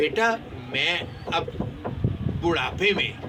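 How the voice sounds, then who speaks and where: Over noticeable background noise and audible room echo, a man speaks in a raised, projected voice. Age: 70s. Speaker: pigeon fancier. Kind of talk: casual vlog advice talk.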